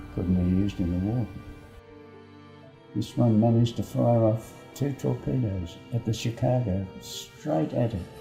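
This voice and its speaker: Over music in the background, a man with fairly low pitch and lively intonation speaks at a fairly slow pace with long, frequent pauses. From Australia, Sydney. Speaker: war veteran. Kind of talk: interview, recounting memories.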